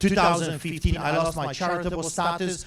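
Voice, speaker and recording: A man speaks with a Polish accent at a high pitch. There is audible room echo. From Poland. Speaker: pastor. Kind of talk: speech to audience. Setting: stage with audience. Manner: animated.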